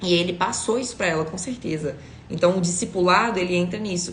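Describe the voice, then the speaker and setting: A woman with a fairly low pitch speaks over noticeable background noise, with audible room echo. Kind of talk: devotional teaching. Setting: livestream.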